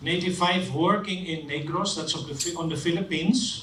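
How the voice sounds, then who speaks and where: A man with a Dutch accent speaks at a high pitch with fairly even intonation, with audible room echo and noticeable background noise. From Netherlands. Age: 60s. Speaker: engineer and social entrepreneur. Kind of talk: conference talk.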